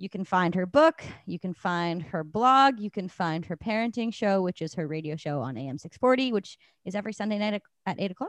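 Fairly quick speech with lively intonation and a Canadian accent, in an unremarkable speaking voice. The sound is dry and close, with no echo. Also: woman, medium pitch for a woman. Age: 20s. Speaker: podcast host and musician. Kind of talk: casual chat.

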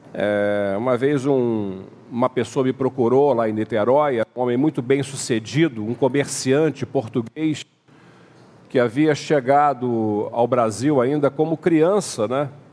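This man has a normal speaking voice, medium in pitch, moving at a fairly slow pace with ordinary pitch variation. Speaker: pastor. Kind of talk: sermon.

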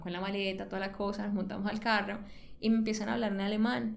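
A woman talks at a very fast pace and a fairly high pitch, with audible room echo. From Colombia, Cali. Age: 30s. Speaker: interviewee sharing emigration story. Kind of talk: personal storytelling.

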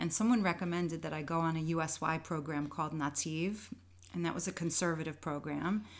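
A woman with an American accent and an ordinary speaking voice, fairly low in pitch, fairly even in intonation, at a fairly quick pace. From New York. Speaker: dancer and Zumba teacher. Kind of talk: casual interview chat.

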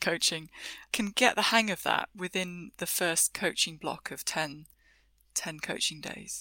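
A woman's voice has a bright, sharp tone and lively intonation. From UK. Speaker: technical agile coach and author. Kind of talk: podcast interview.

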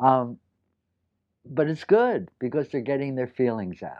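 A man speaks at a moderate pace. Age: 70s. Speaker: psychologist and group therapist. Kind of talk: interview.

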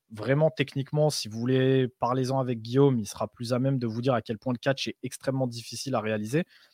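Medium in pitch, a man's unremarkable speaking voice moves at a moderate pace with fairly even intonation. The sound is dry and close with no echo, recorded very cleanly over a silent background. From Europe. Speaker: podcast co-host. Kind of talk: casual chat.

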